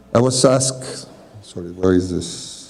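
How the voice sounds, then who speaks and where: Over noticeable background noise, a man speaks in a Spanish accent with ordinary pitch variation. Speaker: architect and landscape designer. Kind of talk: reading aloud a prepared talk. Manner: formal.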